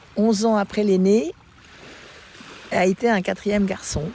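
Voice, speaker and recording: Over noticeable background noise, a woman talks at a fairly slow pace. Her voice sits at medium pitch with fairly even intonation. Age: 70s. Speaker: mother giving testimony. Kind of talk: interview testimony. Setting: outdoors by the sea. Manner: halting.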